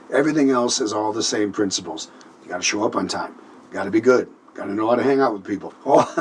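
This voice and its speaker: This man talks very fast with an American accent, at a medium pitch and with ordinary pitch variation. Noticeable background noise runs beneath his voice. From Minnesota. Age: 60s. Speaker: singer and band leader. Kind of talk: interview. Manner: halting.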